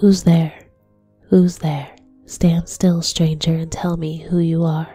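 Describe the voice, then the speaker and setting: This put-on character voice growls at a middle pitch in a monotone, flat intonation at a fairly slow pace, with faint music in the background. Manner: menacing, demanding.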